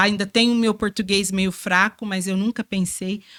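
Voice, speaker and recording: A woman at medium pitch speaks in a flat monotone at a moderate pace, the sound dry and close with no echo. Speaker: religious sister and community formator. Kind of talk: testimony in podcast interview. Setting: studio. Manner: informal, colloquial.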